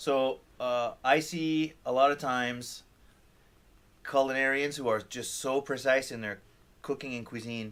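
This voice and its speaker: A man speaks at a fairly slow pace with a medium pitch and a slight French Canadian accent. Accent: barely noticeable French Canadian. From Quebec or French Canada. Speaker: chef. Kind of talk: interview. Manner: halting.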